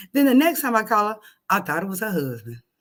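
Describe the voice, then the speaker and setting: The tone is animated, and the recording is very clean with a silent background. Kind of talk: casual, informal. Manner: animated, conversational storyteller.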